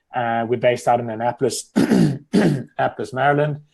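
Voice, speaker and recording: A man with a South African accent speaks at a medium pitch with ordinary pitch variation. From South Africa, Cape Town. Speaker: accountant. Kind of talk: interview.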